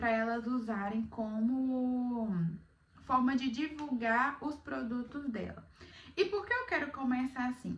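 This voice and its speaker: Very slow delivery with ordinary pitch variation and audible room echo. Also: woman, high pitch for a woman. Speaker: beginner content creator, vlogger. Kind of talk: casual vlog talk to camera.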